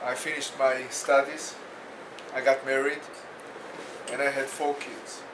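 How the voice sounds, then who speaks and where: A man with an Israeli accent speaks at a fairly high pitch. There is audible room echo and noticeable background noise. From Israel, Jerusalem. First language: Hebrew. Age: 60s. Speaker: bereaved parent, peace activist. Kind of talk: testimony. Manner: slow.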